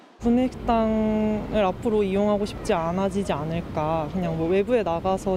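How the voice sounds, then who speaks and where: A woman speaks at a medium pitch with ordinary pitch variation, with noticeable background noise behind her. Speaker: news anchor. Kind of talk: news reading. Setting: studio.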